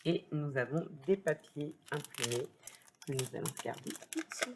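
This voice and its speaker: This is a woman speaking. Her pace is very slow. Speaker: papercraft youtuber. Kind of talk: product unboxing review. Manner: hesitant, many fillers.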